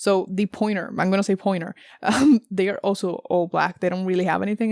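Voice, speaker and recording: A very clean recording, silent in the background, with fairly even intonation. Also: woman. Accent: non-native. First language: not English. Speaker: tarot reader. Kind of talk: tarot reading. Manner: casual, many fillers and self-corrections; halting when searching for words.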